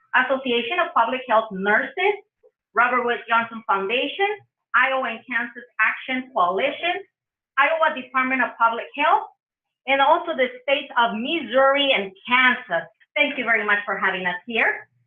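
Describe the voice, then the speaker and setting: A woman with a strong Spanish accent speaks at a high pitch and a moderate pace. Her tone is animated, with lively intonation. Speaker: public health trainer. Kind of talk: conference presentation.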